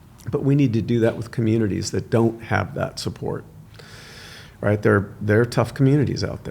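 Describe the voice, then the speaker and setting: This man's medium-pitched voice has a dark, mellow tone and is somewhat breathy. He speaks at a moderate pace. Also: ordinary pitch variation. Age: 60s. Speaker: son of a film star, podcast guest. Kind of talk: casual interview chat.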